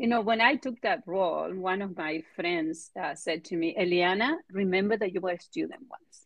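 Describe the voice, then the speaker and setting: A woman with a Spanish accent talks at a moderate pace, with a medium pitch and ordinary pitch variation. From Argentina. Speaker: biotech executive. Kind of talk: interview.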